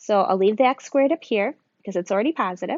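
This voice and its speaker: A woman with an American accent speaks in a plain, everyday voice at medium pitch, her intonation lively. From US Midwest, northern Michigan. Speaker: math teacher. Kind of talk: video lesson. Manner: casual, conversational.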